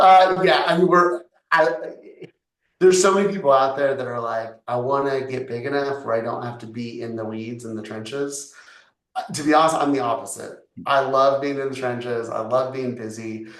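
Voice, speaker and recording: Loudness swings widely at a moderate pace, with ordinary pitch variation and audible room echo. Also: man, medium pitch for a man. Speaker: real estate agent and developer. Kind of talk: casual interview chat.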